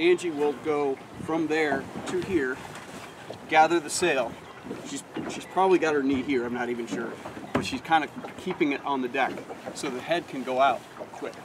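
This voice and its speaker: This man talks at a moderate pace with ordinary pitch variation, leaving long, frequent pauses amid noticeable background noise. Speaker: sailing instructor. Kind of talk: outdoor demonstration talk. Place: boat.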